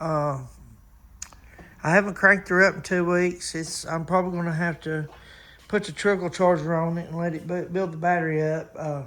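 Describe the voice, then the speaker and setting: In a Southern US accent, a man with a high pitch and a bright, sharp tone talks at a moderate pace in a monotone, flat intonation, leaving long, frequent pauses. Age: 60s. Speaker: car restoration hobbyist. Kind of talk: casual video chat. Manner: hesitant, many fillers.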